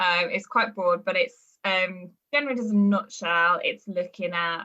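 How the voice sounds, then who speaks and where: A woman's fairly low voice comes through with music playing behind it. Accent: Birmingham. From West Midlands, Birmingham area. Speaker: performance nutritionist and university lecturer. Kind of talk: podcast interview. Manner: hesitant, many fillers.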